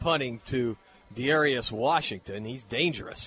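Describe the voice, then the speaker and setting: Noticeable background noise sits under this man's voice as he talks at a fairly slow pace. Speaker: radio play-by-play announcer. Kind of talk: live radio play-by-play of a high school football game. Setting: stadium press box broadcast. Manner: brisk, flowing yard-by-yard call, rising with excitement on big plays; folksy, conversational between plays.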